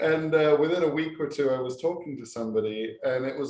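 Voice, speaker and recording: A man with an English accent and fairly even intonation. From England. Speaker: professor. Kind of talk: casual chat. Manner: halting.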